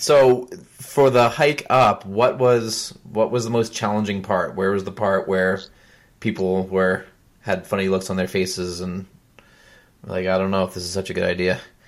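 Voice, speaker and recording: Speaking at a moderate pace, a man has a fairly low pitch. His pitch variation is ordinary. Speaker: podcast host. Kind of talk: casual interview. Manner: enthusiastic, animated.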